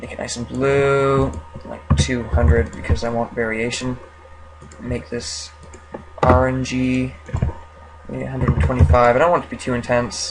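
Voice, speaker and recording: A mumbling man at a medium pitch and moderate pace, with very wide pitch swings, big swings in loudness, long, frequent pauses and noticeable background noise. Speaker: 3D modeling tutorial creator. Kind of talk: screen-recorded software tutorial.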